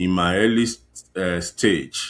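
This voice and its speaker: With a Nigerian accent, a man speaks at a very slow pace on a very clean recording with a silent background. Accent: Nigerian (Yoruba) English. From Nigeria, Ekiti State (southwest). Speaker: fashion designer. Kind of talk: interview. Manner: halting.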